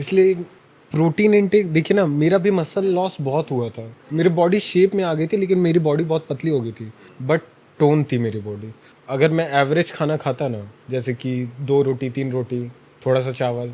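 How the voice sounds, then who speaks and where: A man with an unremarkable speaking voice talks at a moderate pace with a fairly high pitch and lively intonation. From Chhattisgarh, India. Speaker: fitness influencer and college student. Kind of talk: interview answer. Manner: casual.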